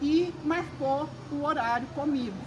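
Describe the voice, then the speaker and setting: A woman speaks with audible room echo. Noticeable background noise is present. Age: 70s. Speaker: retired educator and author, library volunteer. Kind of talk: interview.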